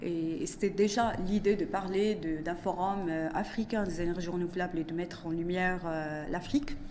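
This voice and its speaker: Moderate pace with hardly any pauses, ordinary pitch variation, and audible room echo. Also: woman, fairly low pitch for a woman. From Morocco. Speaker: economist and business consultant. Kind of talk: interview. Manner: halting.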